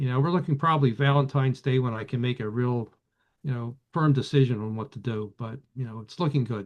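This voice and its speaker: A man talks at a fairly quick pace in a Philadelphia accent. His pitch is medium, with ordinary variation. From Philadelphia area. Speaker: vintage radio collector. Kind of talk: casual chat. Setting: video call. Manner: halting, many fillers.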